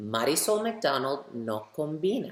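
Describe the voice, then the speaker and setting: A very deep, low, warm-toned woman's voice at a fairly slow pace, with very wide pitch swings. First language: bilingual English and Spanish. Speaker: children's author reading her book. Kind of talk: story time reading aloud for children. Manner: warm, addressing children directly.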